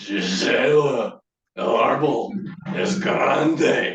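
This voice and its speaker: A man's raspy put-on character voice, fairly high in pitch, at a very slow pace with a slight echo. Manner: creepy, menacing.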